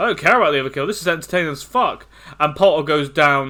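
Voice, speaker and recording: A man's bright, sharp voice, fairly high-pitched, with a British accent. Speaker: esports caster. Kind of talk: live game commentary.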